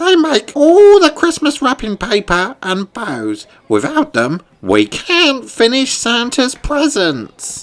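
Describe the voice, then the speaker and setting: A man speaks in a put-on character voice pitched extremely high, with very wide swings in pitch. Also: fairly slow pace. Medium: read story. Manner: anxious.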